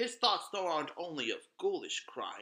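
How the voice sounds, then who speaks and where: A man uses a put-on character voice at an extremely high pitch. He talks at a moderate pace. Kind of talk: gothic horror narration. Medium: read story. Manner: dramatic, ominous.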